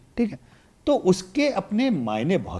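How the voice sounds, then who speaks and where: His voice moves through very wide pitch swings as this man speaks. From Varanasi, eastern Uttar Pradesh, India. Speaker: election analyst. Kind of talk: podcast interview.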